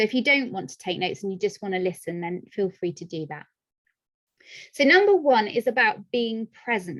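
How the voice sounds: A woman speaks at a moderate pace with big pitch swings. Her tone is fairly bright. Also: medium pitch for a woman.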